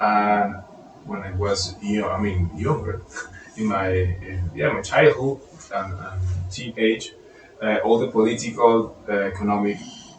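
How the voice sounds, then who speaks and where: A man with a non-native accent talks at a fairly slow pace in a fairly low pitch, with fairly even intonation and long, frequent pauses, while music plays behind him. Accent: foreign. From Venezuela. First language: Spanish. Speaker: composer and guitarist. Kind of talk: casual chat. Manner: halting.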